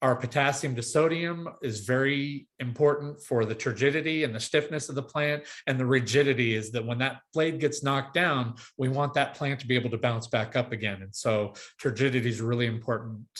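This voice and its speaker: A somewhat breathy man's voice of medium pitch at a fairly quick pace, with ordinary pitch variation. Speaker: agronomist and sports field specialist. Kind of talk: webinar presentation. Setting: online webinar. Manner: fast.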